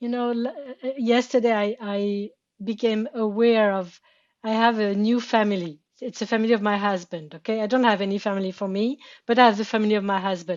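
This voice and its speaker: A woman speaks at a fairly quick pace with a French accent, her fairly high pitch held in a fairly even intonation. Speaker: therapy session participant. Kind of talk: therapy session conversation. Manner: halting, repeating words.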